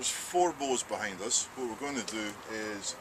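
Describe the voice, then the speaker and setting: Against noticeable background noise, a man speaks at a moderate pace in a Scottish accent, with a medium pitch and ordinary pitch variation. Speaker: archery range host. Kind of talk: casual chat.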